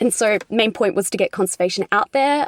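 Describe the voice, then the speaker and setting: Recorded dry and close with no echo, a woman talks with an Australian accent and ordinary pitch variation. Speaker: conservator and YouTuber. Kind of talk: interview.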